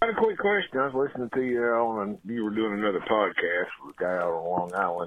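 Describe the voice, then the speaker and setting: Man in a Southern US accent with very wide pitch swings. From Kentucky. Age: 70s. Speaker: caller. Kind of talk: phone-in question. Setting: phone call.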